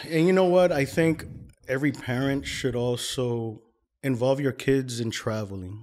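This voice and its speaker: Recorded very cleanly against a silent background, a man speaks in a plain, everyday voice with an American accent, at a medium pitch and moderate pace with ordinary pitch variation. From New York City, Washington Heights; teens in Colombia. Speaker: podcast guest. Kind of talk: casual interview chat.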